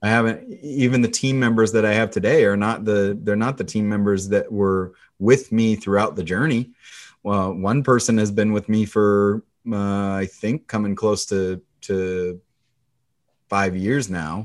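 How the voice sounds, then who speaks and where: Over a quiet background, a plain, everyday voice with an American accent moves at a fairly slow pace with fairly even intonation. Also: man, fairly low pitch for a man. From US Pacific Northwest. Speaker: loan officer. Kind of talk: interview.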